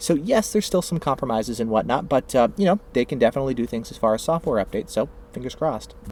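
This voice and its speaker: A man's very fast, lively-toned talk with hardly any pauses, against noticeable background noise. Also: medium pitch for a man. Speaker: tech product reviewer. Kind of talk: tutorial. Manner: casual with many filler words.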